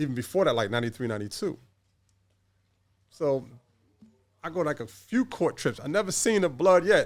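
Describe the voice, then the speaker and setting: A man with a New York accent talks at a fairly quick pace with long, frequent pauses, his fairly high voice showing vocal fry and very wide pitch swings. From New York City. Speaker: former gang member. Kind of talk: podcast interview.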